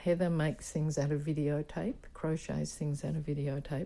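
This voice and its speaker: Her very deep, low pitch and dark, mellow tone mark a woman with an Australian accent speaking at a moderate pace with fairly even intonation. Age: 70s. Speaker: performance artist. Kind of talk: interview. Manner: halting.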